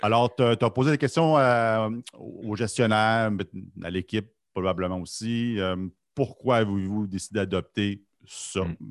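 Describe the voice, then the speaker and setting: In a quiet background with a dry, close sound and no echo, a man with a fairly low pitch talks at a fairly slow pace, leaving long, frequent pauses. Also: ordinary pitch variation. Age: 50s. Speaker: podcast co-host. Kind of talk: casual chat.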